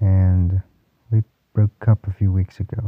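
With the background quiet, the passage is read aloud in a natural voice.

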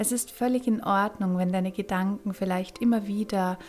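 A woman has a medium pitch and a soothing, calm tone. Her voice is somewhat breathy. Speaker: podcast host and meditation guide. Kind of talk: guided meditation. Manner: slow, soothing, calm; gentle, with long pauses.

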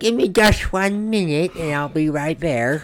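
This is a put-on character voice pitched in the middle range. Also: moderate pace. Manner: wholesome, sweet.

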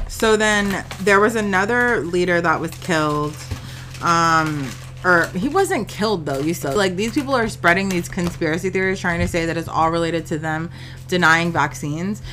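At a moderate pace, a woman with a fairly low voice speaks over noticeable background noise. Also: ordinary pitch variation. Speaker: podcast co-host. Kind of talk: casual banter podcast chat. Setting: recording at home with a hot tub. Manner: profane, joking, animated.

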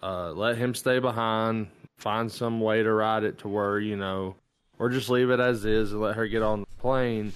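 At a moderate pace, the speech keeps a flat, monotone intonation. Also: man, fairly low pitch for a man. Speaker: movie podcast co-host. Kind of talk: casual chat.

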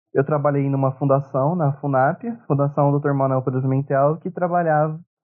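A man talks at a moderate pace with monotone, flat intonation. His pitch is fairly high. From São Paulo interior, Brazil. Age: 20s. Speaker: podcast co-host, history student. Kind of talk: casual discussion.

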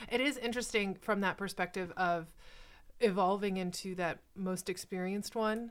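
Using a plain, everyday voice, a woman speaks at a moderate pace and medium pitch with fairly even intonation on a very clean recording with a silent background. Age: 30s. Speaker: nurse educator and podcast host. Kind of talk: casual chat.

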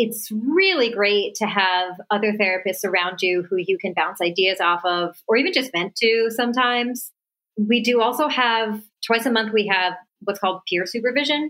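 Loudness stays very even throughout at a moderate pace. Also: woman, fairly high pitch for a woman, ordinary pitch variation. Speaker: music therapist and singer-songwriter. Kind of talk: interview. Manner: animated.

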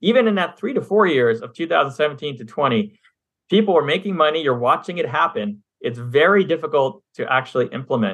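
Speaking at a fairly quick pace, a man has an unremarkable speaking voice. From Montreal, Canada. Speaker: passive real estate investor. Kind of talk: interview.

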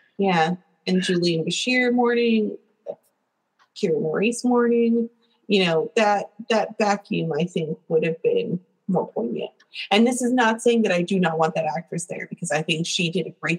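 The sound is dry and close with no echo as a woman talks at a moderate pace. Her medium-pitched voice is somewhat breathy, with lively intonation. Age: 30s. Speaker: podcast co-host. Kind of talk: casual chat. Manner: animated.

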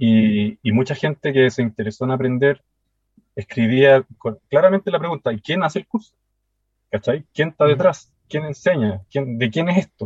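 A man's fairly high, somewhat breathy voice at a moderate pace, with lively intonation. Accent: Chilean. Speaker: woodworking teacher. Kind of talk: casual chat.

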